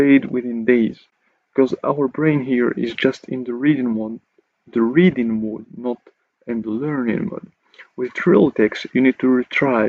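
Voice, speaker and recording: Speaking with a non-native accent, a man talks at a fairly slow pace. His pitch is medium, with ordinary variation. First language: not English. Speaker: English learning YouTuber. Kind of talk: casual talk to camera.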